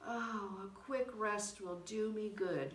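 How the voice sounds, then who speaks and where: A gruff, put-on character voice moves at a very slow pace over clear background noise. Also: woman, medium pitch for a woman. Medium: read story. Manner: wheedling.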